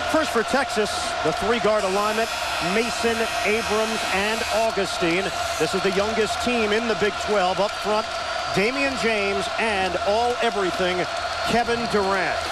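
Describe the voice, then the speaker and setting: A man speaks at a fairly slow pace over loud background noise. The sound is dry, with no echo. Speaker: TV play-by-play announcer. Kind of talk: sports commentary. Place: stadium. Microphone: headset.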